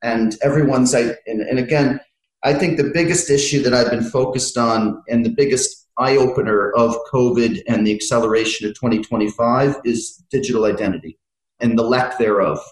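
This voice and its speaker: Using a plain, everyday voice, a man with an American accent speaks at a moderate pace and medium pitch, with ordinary pitch variation and very even loudness. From United States. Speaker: fintech consultant. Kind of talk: interview.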